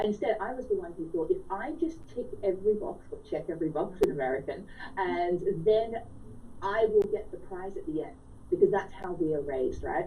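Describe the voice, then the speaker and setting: In an Australian accent, the speaker talks at a fairly quick pace with lively intonation and big swings in loudness, against audible room echo. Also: woman, medium pitch for a woman. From rural Australia. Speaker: author. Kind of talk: radio interview. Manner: animated.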